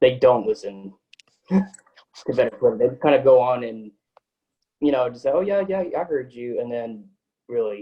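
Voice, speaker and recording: Fairly quick speech from a man in an American accent. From Texas (Tyler). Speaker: podcaster, interview guest. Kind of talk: casual interview chat.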